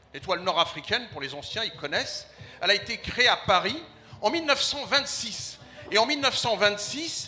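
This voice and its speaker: Noticeable background noise accompanies a man speaking fairly quickly at a high pitch. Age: 60s. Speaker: community association leader, audience member. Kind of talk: audience comment at a public debate. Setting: festival stand with live audience. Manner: hesitant, repeats words.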